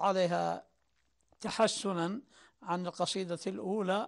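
Over a quiet background, a man with a high voice speaks very slowly and with fairly even intonation. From Saudi Arabia, Najd (Sudair); Najd, Saudi Arabia. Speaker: poet and writer; poet. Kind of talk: interview testimony. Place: home room. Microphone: lapel.

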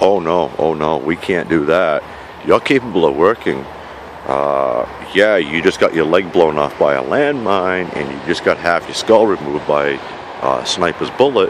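With a New York accent, a man with a very deep, low pitch speaks at a moderate pace with lively intonation, the sound dry with no echo despite noticeable background noise. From New York, the Bronx. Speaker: vlogger living outdoors. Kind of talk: casual vlog monologue. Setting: outdoors at a campsite. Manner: animated. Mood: angry, passionate rant. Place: forest. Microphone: phone near.

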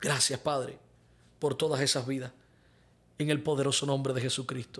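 Keeping a very even loudness, a man speaks at a moderate pace with monotone, flat intonation. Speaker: pastor and prophet; pastor. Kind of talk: live-streamed sermon with prayer and viewer questions. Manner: fervent. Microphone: studio mic.

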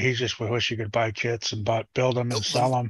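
A man speaks at a moderate pace in a monotone, flat intonation. The sound is dry with no echo, and the background is quiet. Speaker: panel regular on live RC hobby stream. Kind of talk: casual chat. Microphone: video call.

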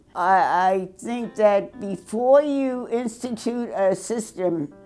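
A woman's fairly high voice with ordinary pitch variation over faint background music. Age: 80s+. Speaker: math teacher. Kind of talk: interview. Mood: firm, mildly critical. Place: studio.

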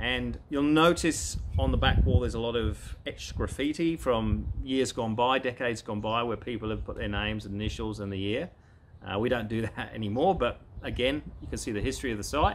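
Vocal fry and lively intonation from a man at a fairly quick pace, over light background noise. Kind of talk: casual vlog chat. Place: garden.

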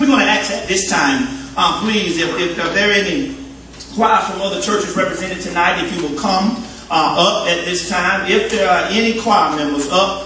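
In a room with audible echo and light background noise, a man speaks in a raised, projected voice at a moderate pace with ordinary pitch variation. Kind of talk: church program announcement. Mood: warm, joking, upbeat. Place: church.

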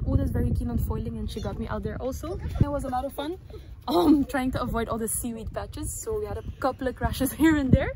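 A woman speaks at a fairly quick pace. The sound is dry with no echo, with noticeable background noise. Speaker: windsurfer vlogger. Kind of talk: casual vlog chat. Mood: relaxed after a session. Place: open country. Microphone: phone near.

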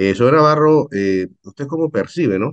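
A man's intonation is lively, and the background stays quiet. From Panama. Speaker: journalist, interviewer. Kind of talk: news interview, questions. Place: home room. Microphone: video call.

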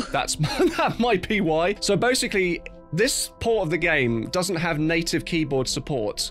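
A man keeps a moderate tempo while faint music lingers behind him. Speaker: live streamer. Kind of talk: casual stream chat. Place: home room. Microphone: studio mic.

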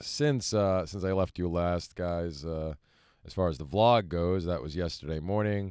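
In a quiet background with a dry sound and no echo, a man speaks at a very deep, low pitch with ordinary pitch variation. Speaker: vlogger living in his vehicle. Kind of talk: casual vlog chat. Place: car. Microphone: phone near.

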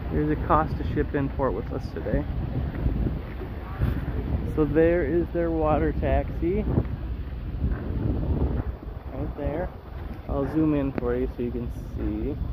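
Over loud background noise, a man speaks at a fairly slow pace with long, frequent pauses, the sound dry with no echo. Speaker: cruise vlogger. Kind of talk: casual vlog chat. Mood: playful, relaxed. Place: waterside. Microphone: phone near.

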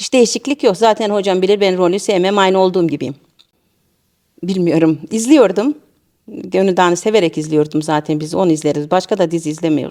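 Speaking fairly quickly with a Central Anatolian accent, a woman delivers her words in a dark, mellow tone with lively intonation. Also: medium pitch for a woman. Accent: Niğde regional Turkish. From Niğde, central Anatolia, Turkey. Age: 50s. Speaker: amateur theatre actor. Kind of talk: interview.

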